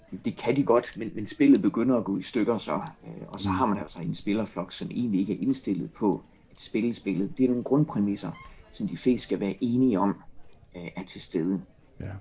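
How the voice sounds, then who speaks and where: Moderate pace and ordinary pitch variation in an ordinary speaking voice, loudness swinging widely. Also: man, fairly low pitch for a man. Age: 40s. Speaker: psychologist. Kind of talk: casual chat.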